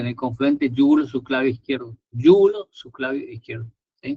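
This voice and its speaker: Fairly quick speech from a man with a fairly high voice and ordinary pitch variation. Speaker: anatomy tutor. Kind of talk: lecture. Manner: fast.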